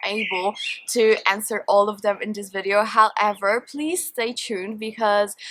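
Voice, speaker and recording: With a Polish accent, a woman speaks at a moderate pace and medium pitch amid noticeable background noise. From Poland. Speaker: beauty and perfume vlogger. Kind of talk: Q&A vlog, casual chat. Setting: outdoors in a garden.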